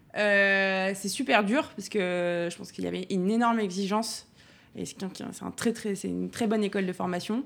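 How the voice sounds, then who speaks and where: A normal speaking voice from a woman at medium pitch, moderate pace and fairly even intonation, on a very clean recording with a silent background. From Burgundy, France (Dijon, Auxerre). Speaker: chef. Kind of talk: interview.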